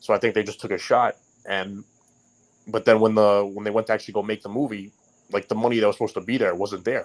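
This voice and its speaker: A man with a New York accent talks very fast, with long, frequent pauses and monotone, flat intonation. The recording is very clean, with a silent background. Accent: Queens New York. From New York, Queens (North Bayside). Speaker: writer and podcast guest. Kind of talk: casual chat. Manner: halting, many restarts.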